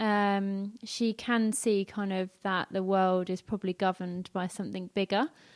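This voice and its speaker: A woman with a slight North London accent speaks at a medium pitch and a moderate pace, her intonation fairly even. The recording is very clean with a silent background, and the sound is dry and close with no echo. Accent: slight North London accent, drops T and H. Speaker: church member, emergency planner and mum. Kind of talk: testimony interview.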